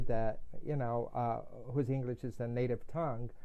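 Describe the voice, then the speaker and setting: A man with a Portuguese accent speaks at a moderate pace in a dark, mellow tone with ordinary pitch variation. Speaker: integrative medicine doctor. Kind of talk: podcast interview.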